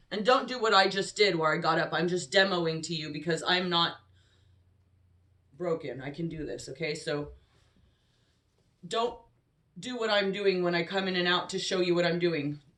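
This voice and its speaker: A woman at a moderate pace, with long, frequent pauses and ordinary pitch variation. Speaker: yoga instructor. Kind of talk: tutorial. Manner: loud. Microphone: no microphone, camera audio.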